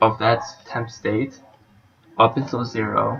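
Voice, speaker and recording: Music plays in the background as a man talks with a non-native accent. His pace is fairly slow and his intonation fairly even. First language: not English. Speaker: university student. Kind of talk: class presentation, code walkthrough.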